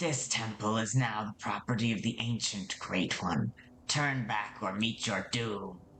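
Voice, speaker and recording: In a put-on character voice, someone hisses in a low pitch with a menacing tone at a fairly slow pace over clear background noise. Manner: hissing, menacing.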